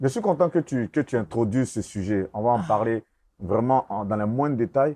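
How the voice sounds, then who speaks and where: A man's lively, medium-pitched voice, dark and mellow in tone, at a moderate pace. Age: 40s. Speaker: interviewer. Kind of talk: interview.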